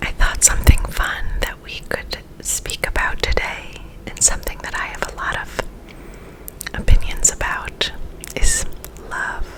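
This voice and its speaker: Whispering at a fairly slow pace, with long, frequent pauses and noticeable background noise. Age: 30s. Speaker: ASMR creator. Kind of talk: ASMR ramble. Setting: home recording. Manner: trying to speak slower.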